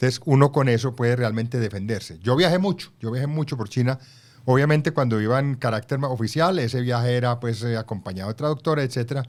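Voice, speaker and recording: A man's medium-pitched voice, very fast in pace, with ordinary pitch variation. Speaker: former ambassador and author. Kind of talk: interview.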